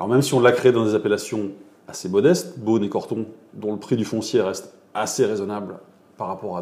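With audible room echo, a man talks at a fairly quick pace in a fairly low voice with a dark, mellow tone. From France, Loire Valley (Montlouis-sur-Loire). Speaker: winemaker. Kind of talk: interview. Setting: at his wine estate.

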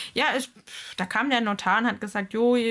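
There is noticeable background noise as a woman talks fairly quickly at a fairly high pitch. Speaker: podcast host. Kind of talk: casual chat. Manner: laughs often.

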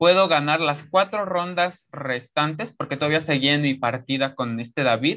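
A man speaks in a plain, everyday voice with a fairly high pitch. His pace is moderate and he hardly pauses at all. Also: ordinary pitch variation. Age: young. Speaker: chess player. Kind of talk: interview.

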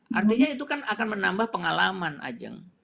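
A raised, projected voice moves through very wide pitch swings. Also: man. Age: 50s. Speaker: retired telecom company director. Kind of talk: interview. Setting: live stream interview. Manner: halting, many fillers.

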